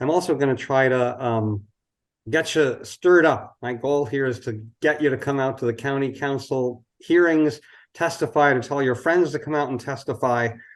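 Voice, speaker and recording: A man with a plain, everyday voice, fairly high-pitched and fairly even in intonation, at a moderate pace over a quiet background. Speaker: housing advocate. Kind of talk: presentation.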